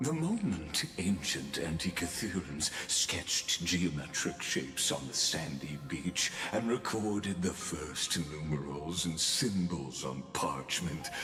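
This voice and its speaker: Through loud background noise and clear echo, a man does a put-on character voice, very deep and low, at a fairly slow pace. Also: hardly any pauses. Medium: video game. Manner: measured, lofty, poetic.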